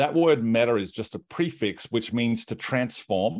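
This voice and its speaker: Very clean and silent in the background, the recording features a man with an Australian accent. His pitch is medium and his tone animated. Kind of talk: casual interview chat. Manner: animated, humorous.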